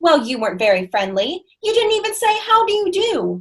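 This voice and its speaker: In a put-on character voice, the speaker sounds squeaky and energetic at a moderate pace. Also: woman, extremely high pitch for a woman. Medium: stage play. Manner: energetic, exclamatory.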